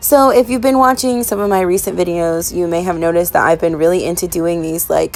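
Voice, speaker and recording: A woman's medium-pitched voice with ordinary pitch variation, over music in the background. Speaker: craft vlogger. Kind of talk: casual voiceover tutorial.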